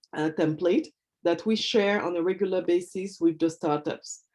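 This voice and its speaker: The speaker is a woman with a French accent. Her tone is dark and mellow, with ordinary pitch variation. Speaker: hub manager at a webinar. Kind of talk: webinar Q&A. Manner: halting, many fillers.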